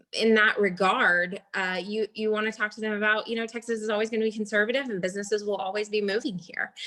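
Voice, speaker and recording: Noticeable background noise fills this clip. A woman with a fairly high pitch talks at a very fast pace in a monotone, flat intonation. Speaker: real estate agent. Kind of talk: panel discussion.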